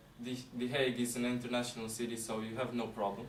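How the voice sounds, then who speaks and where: A man speaks with audible room echo around him. There is noticeable background noise too. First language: not English. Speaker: international student. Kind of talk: interview answers.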